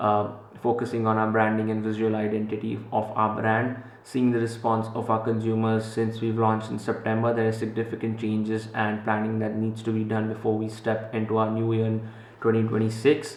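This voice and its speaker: A man with a Gujarati accent, medium pitch, flat monotone delivery and a fairly quick pace, amid audible room echo and noticeable background noise. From Central Africa, Indian Gujarati family. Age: 20s. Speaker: entrepreneur vlogger. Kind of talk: vlog talk to camera. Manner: casual with many fillers.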